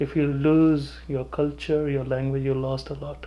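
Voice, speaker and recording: A man with a Punjabi accent speaks at a fairly high pitch. His intonation is monotone and flat. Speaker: pediatrician. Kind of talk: interview. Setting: office.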